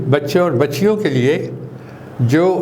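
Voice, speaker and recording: A man talks over noticeable background noise. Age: 80s+. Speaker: retired air force officer. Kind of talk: interview answer.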